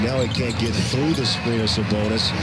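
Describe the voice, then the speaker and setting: Speech at a moderate pace sounds dry, with no echo, against loud background noise. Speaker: TV play-by-play announcer. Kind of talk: live basketball play-by-play commentary. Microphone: headset.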